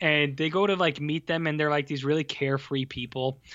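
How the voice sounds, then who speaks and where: A man speaks in a normal speaking voice with a Canadian accent. His pitch is fairly high and his pace moderate. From Canada. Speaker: film podcast co-host. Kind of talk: casual chat. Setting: video call.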